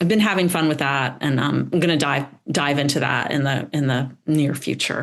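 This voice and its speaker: A woman with an American accent speaks in a very deep, low pitch, with ordinary pitch variation and very even loudness. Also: moderate pace. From US South, North Carolina. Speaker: painter and art teacher. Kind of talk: interview. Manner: halting, many fillers.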